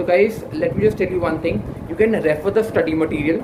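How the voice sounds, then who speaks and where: Over noticeable background noise, a man with a high pitch and an Indian accent talks at a very fast pace with ordinary pitch variation. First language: Hindi. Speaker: exam preparation YouTuber. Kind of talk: tutorial. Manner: halting, many fillers.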